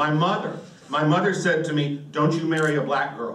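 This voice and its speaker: Room echo is audible as a man talks at a fairly quick pace. Light background noise sits underneath. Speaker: stand-up comedian. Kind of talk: stand-up comedy routine. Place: stage.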